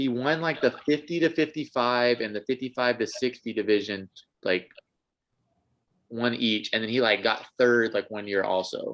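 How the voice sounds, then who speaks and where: Using a plain, everyday voice, a man with an American accent speaks at a moderate pace and medium pitch. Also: ordinary pitch variation. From US South, North Carolina. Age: 20s. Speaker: air force member and crossfit athlete. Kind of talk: casual chat. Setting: podcast interview.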